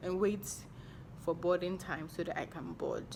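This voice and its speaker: Her voice sits at a fairly low pitch for a woman, with ordinary pitch variation. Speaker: YouTuber. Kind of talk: storytime vlog. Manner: slow; animated.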